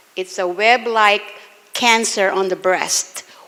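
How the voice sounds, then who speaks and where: The speech moves at a fairly slow pace with fairly even intonation. Noticeable background noise runs underneath. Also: woman. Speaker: breast cancer survivor, patient speaker. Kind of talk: testimony. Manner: emotional, emphatic.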